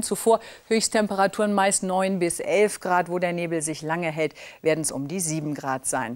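A woman's voice, showing ordinary pitch variation, comes through against a quiet background. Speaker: TV weather presenter. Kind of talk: TV weather forecast. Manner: elegant, charming. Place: studio. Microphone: lapel.

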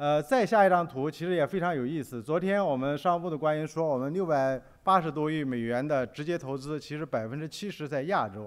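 Against a quiet background, a man with a fairly high pitch speaks at a very fast pace, with ordinary pitch variation and hardly any pauses. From China. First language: Mandarin Chinese. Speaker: business magazine editor; conference speaker. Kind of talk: conference presentation. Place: hall. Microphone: podium.

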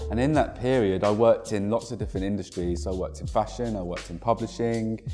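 Over faint music in the background, a man talks at a very fast pace in a fairly low pitch. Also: ordinary pitch variation. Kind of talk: interview answer. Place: office. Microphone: lapel.

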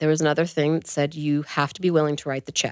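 A woman speaks with a very deep, low pitch. The sound is dry with no echo over a quiet background. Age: 40s. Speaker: adoptive mother sharing infertility story; podcast guest. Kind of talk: casual interview, personal story. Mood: earnest personal storytelling. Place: studio. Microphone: studio mic.

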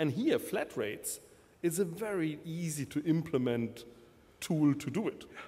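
A man speaks with a German accent. His tone is dark and mellow. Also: lively intonation, moderate pace. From Germany. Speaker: telecom vendor manager. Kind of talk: panel discussion. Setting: conference stage with audience. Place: hall. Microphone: podium.

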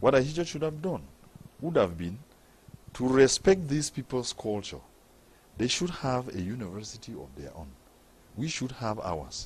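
Somewhat breathy, a man talks at a moderate pace and a medium pitch with very wide pitch swings. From Cameroon, northwest region (anglophone). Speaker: member of parliament. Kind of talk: TV interview.

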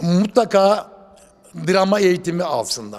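Using lively intonation, a man talks at a moderate pace with a high pitch. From Sivas, Turkey. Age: 70s. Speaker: actor. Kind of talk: interview answer.

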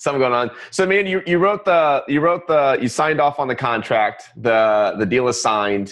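At a moderate pace, the speaker sounds excited and energetic, the pitch swinging very widely. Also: man, quiet background. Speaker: podcast host. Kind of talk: casual interview. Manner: excited, energetic. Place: studio.

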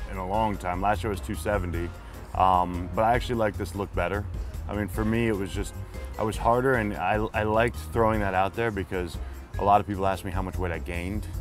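A man talks very fast in a very deep, low voice with ordinary pitch variation. The sound is dry with no echo, and faint music plays in the background. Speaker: interview guest. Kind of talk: interview answer. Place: cafe. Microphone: lapel.

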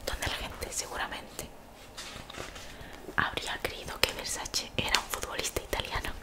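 Whispering from a soft-spoken woman at a moderate pace. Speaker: content creator reading a book. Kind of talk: reading a novel aloud, soft ASMR-like. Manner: soft whispered reading into microphone. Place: home room. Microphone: studio mic.

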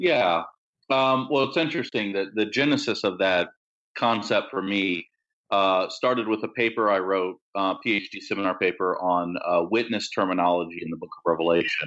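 Here is a man with an unremarkable speaking voice and an American accent. He uses a fairly low pitch, ordinary pitch variation and a moderate pace. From Maryland, US. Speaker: Bible scholar and pastor. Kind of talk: interview about scripture. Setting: remote call with poor internet.

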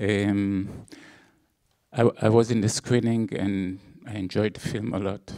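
Over a quiet background, a man talks in a fairly low pitch with fairly even intonation. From Israel. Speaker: film producer. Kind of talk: stage introduction. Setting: stage with audience. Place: hall. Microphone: handheld.

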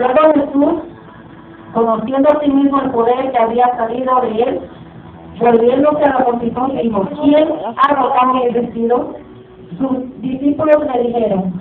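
Amid light background noise and audible room echo, a woman speaks at a fairly slow pace and a high pitch with ordinary pitch variation. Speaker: preacher. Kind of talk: sermon, scripture reading aloud. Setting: church. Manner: fervent, call-and-response style. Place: church. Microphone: camera far.

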